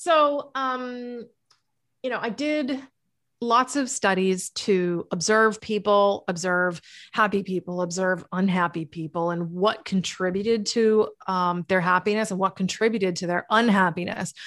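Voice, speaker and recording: Against a quiet background, a woman with an American accent speaks fairly slowly at medium pitch. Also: ordinary pitch variation. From New England (Massachusetts). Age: 40s. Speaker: author and happiness coach. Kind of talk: casual interview chat. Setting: remote call. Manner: animated.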